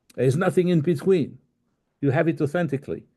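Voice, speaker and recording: A man with a dark, mellow tone speaks over a quiet background. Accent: French. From France. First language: French. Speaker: life coach. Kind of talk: recorded talk. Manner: halting.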